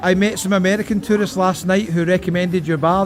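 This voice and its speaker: Someone talks at a very fast pace in a strong Scottish accent, with noticeable background noise behind them. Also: man. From Scotland. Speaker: travel vlogger. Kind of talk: travel vlog walkabout. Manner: animated.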